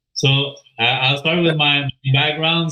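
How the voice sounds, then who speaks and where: A man with a strong French accent, medium pitch and a very slow pace. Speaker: crypto project team member. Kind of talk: AMA interview. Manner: halting, many filler sounds.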